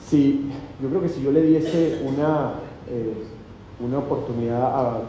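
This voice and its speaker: Fairly slow speech from a man with a Venezuelan accent, medium in pitch and fairly even in intonation, with audible room echo and noticeable background noise. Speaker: company executive presenting at investment seminar. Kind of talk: live seminar talk. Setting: hotel event with live audience.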